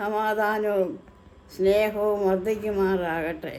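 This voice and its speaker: Her voice sits at a fairly high pitch with a dark, mellow tone, and this woman's intonation stays fairly even. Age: 80s+. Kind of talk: scripture reading.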